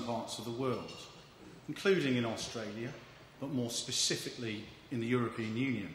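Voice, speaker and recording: With an English accent, a man speaks at a medium pitch with ordinary pitch variation, amid noticeable background noise and audible room echo. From England. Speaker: agricultural economist. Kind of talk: speech.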